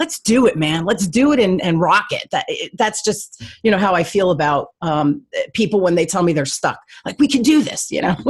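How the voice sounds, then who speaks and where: A somewhat breathy woman with a New Jersey accent speaks at medium pitch and a moderate pace, her pitch swinging very widely. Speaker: sales coach and radio show host. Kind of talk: podcast interview.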